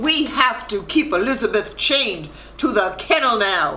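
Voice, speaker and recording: The speaker puts on a character voice, fairly high in pitch, at a moderate pace. Background noise is clear. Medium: read story.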